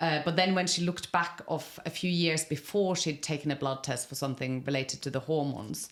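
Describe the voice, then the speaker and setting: With an Irish accent, a woman speaks at a fairly quick pace with hardly any pauses, her very deep, low pitch showing ordinary variation. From Norway. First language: Norwegian. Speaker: podcast host. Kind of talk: interview. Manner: casual.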